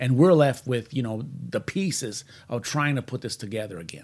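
A man with a Puerto Rican accent and lively intonation, on a very clean recording with a silent background. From Puerto Rico. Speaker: podcast host. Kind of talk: casual chat. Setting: studio. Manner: fast talker; excitable.

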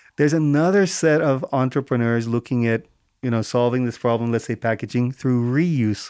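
A man with an American accent speaks in an unremarkable speaking voice at a fairly quick pace, with medium pitch and ordinary pitch variation, on a very clean recording with a silent background. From US. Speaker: climate startup accelerator founder. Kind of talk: interview.

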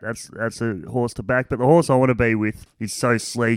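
A man with an Australian accent at a moderate pace, very clean recording with a silent background, dry and close with no echo. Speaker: racing analyst. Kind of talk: casual chat.

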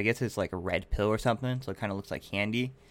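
A man with a West Coast accent talks at a very fast pace. His pitch is medium and his intonation fairly even. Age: 20s. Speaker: podcast host. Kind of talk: casual chat.

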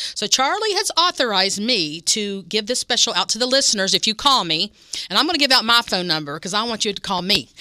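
With an American accent, a woman talks very fast at a fairly high pitch, her voice swinging very widely in pitch, in a dry, close sound with no echo. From West Virginia. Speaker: restaurant catering representative. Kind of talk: radio interview. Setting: radio studio. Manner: animated.

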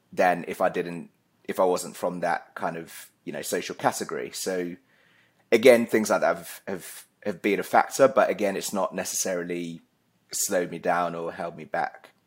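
On a very clean recording with a silent background, a man with a southern English accent speaks at a moderate pace, with big swings in loudness. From Essex, England. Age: 30s. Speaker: account executive. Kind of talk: casual chat.

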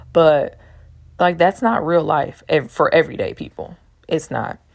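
A woman's very deep, low voice at a moderate pace. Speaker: podcaster. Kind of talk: casual solo monologue. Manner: chatty, casual.

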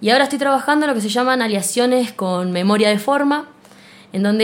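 There is noticeable background noise as a woman talks with an Argentine accent. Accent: Rioplatense Argentine Spanish. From Argentina, Buenos Aires province coast. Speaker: physicist and lecturer. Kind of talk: interview. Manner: halting, many repetitions.

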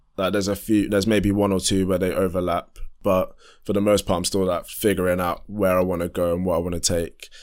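A man speaks at a very fast pace in a very deep, low voice. His intonation is monotone and flat. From southeast London. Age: 20s. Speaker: amateur R&B and hip-hop musician. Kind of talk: casual interview chat.

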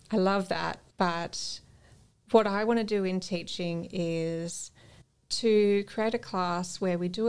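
A woman with an Australian accent, fairly slow and fairly even in intonation, on a very clean recording with a silent background. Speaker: yoga teacher and make-up artist. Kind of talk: casual chat. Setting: studio.

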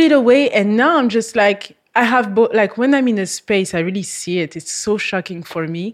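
A woman talks with a French accent at a moderate pace. Her voice sits fairly high in pitch. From France. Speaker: model. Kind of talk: casual chat. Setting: studio.

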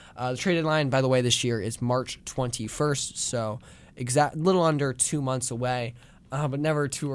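A normal speaking voice with an American accent, moving at a fairly quick pace with fairly even intonation. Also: man. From New Jersey, near Philadelphia. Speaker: student radio host. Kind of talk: solo sports commentary show.

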